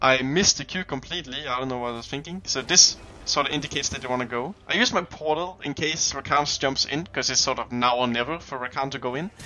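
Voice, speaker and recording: A man rushes at a very fast pace with hardly any pauses and ordinary pitch variation, while noticeable background noise carries on. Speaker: gaming guide creator. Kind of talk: tutorial commentary over gameplay. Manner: casual, many fillers.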